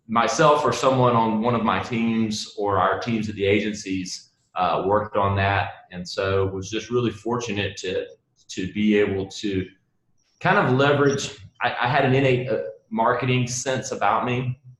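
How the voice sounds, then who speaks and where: The speaker has a strong Southern US accent. The pace is fairly slow, with ordinary pitch variation. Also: man, medium pitch for a man. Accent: Southern US, heavier than most. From US South, South Carolina. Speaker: marketing agency founder. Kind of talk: interview. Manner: halting, repeats words.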